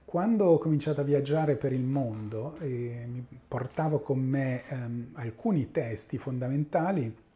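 A man's somewhat breathy voice, fairly high in pitch, with a dark, mellow tone and a fairly slow pace. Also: ordinary pitch variation. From central Italy, Urbino area; Italy. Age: 50s. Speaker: mathematical physics professor; professor of mathematical physics. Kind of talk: interview monologue. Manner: halting, many fillers. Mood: calm, reminiscing. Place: office. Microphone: lapel.

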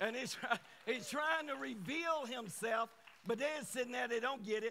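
Projecting a raised voice, a man speaks with lively intonation at an extremely high pitch. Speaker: guest preacher. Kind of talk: sermon. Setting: church with congregation. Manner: animated.

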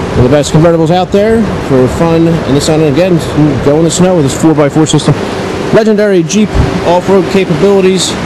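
A fairly quick pace over noticeable background noise. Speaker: car salesperson. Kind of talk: sales walkaround commentary. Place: street. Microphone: phone near.

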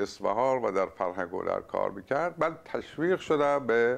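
At a moderate pace, a man is speaking. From Iran, Isfahan; Iran. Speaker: writer and poet; poet. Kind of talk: interview. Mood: calm, reflective. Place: home room. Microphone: lapel.

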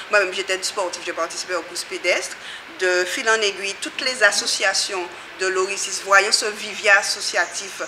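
A woman at medium pitch and a moderate pace, with noticeable background noise. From Guadeloupe. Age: 40s. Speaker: community association member. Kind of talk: interview. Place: hall.

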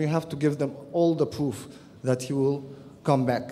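A man speaks with an Arabic accent at a moderate pace. His intonation is monotone and flat. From Egypt. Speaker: peace activist and columnist. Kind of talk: conference panel talk. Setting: stage with audience. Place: hall. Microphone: podium.

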